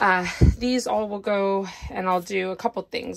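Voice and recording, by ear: A woman talks at a medium pitch with vocal fry.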